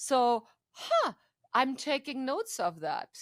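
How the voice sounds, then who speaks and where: Recorded very cleanly against a silent background, a woman talks with a non-native accent, her sound dry and close with no echo. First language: not English. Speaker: AI council member. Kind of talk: casual interview conversation.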